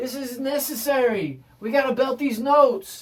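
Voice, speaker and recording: A loud voice with an American accent at a fairly slow pace. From US South. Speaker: music teacher. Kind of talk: tutorial.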